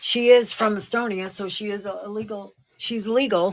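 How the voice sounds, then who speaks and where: A woman's monotone, flat delivery at a moderate pace and medium pitch. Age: 60s. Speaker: psychic show co-host. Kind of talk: casual chat.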